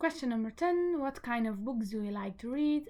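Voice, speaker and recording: A woman with a Flemish Belgian accent speaks at a fairly high pitch. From Belgium, Flemish-speaking part. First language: Dutch (Flemish). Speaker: book vlogger. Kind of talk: casual vlog talk. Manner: hesitant, with fillers.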